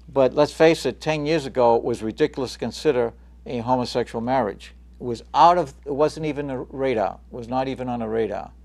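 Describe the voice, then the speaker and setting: With an American accent, a man talks at a fairly quick pace and medium pitch, using ordinary pitch variation against a quiet background. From Chelsea, Massachusetts (Boston area). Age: 60s. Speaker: talk show host. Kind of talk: political talk show discussion.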